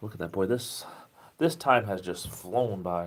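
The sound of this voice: A man's low voice with a southeastern New England accent.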